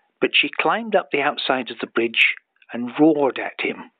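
Here a man talks in a Scottish accent. His pace is fairly slow and his intonation is lively. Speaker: storyteller. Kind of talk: bedtime story. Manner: improvised, unhurried.

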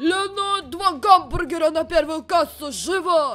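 A put-on character voice comes at an extremely high pitch, yet gruff, at a moderate pace. Music plays in the background. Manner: gruff, commanding.

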